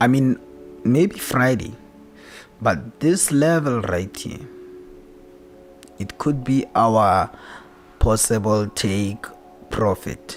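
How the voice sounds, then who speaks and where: A man talks at a very slow pace, leaving long, frequent pauses. His intonation is lively, and music plays in the background. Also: medium pitch for a man. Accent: non-native. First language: not English. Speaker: trading analyst streamer. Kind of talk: live stream tutorial. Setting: live stream. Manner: casual, repetitive.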